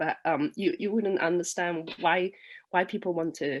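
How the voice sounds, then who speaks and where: A woman with a Cantonese accent speaks at a fairly low pitch with ordinary pitch variation against a quiet background. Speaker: poet. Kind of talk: casual talk introducing a poem; poetry reading. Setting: online festival. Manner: halting, many fillers.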